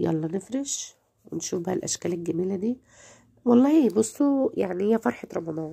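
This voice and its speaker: A woman speaks in an Egyptian accent with a dark, mellow tone and fairly high pitch. Her pitch swings very widely, and her pace is moderate. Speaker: home lifestyle vlogger. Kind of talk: home routine vlog narration. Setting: at home.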